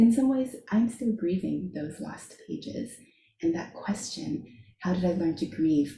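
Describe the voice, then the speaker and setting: A woman with an American accent speaks at a fairly slow pace, her pitch medium and her tone dark and mellow. Her intonation is lively, with vocal fry. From US, immigrated from Shanghai at four. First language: Chinese. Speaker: author. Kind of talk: book launch conversation.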